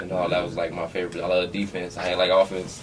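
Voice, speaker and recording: Over noticeable background noise and audible room echo, a man talks very fast in a very deep, low voice with monotone, flat intonation. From Compton, California. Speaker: former college football player. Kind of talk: casual podcast interview.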